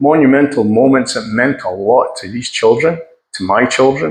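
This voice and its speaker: A man's voice at a medium pitch. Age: 60s. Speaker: seafarer turned affiliate marketer. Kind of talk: personal vlog storytelling. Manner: halting, with frequent repetitions.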